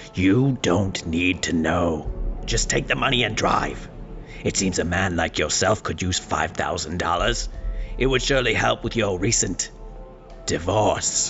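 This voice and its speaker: A man's put-on character voice, very deep and low, at a moderate pace over clear background music. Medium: audio drama. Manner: cold, cryptic, commanding.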